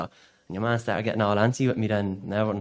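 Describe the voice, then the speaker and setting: The speaker talks very fast in an Irish accent. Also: man. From Ireland, County Louth. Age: 30s. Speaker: part-time farmer. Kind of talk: podcast interview answer.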